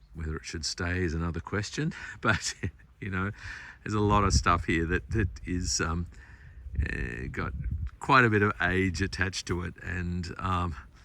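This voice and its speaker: A man speaks quietly at a very deep, low pitch, with a bright, sharp tone and vocal fry. His pace is moderate, his pitch varies normally, and the recording is very clean with a silent background. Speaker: garden designer / tour guide. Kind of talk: casual walking talk to camera. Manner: quiet, low-pitched.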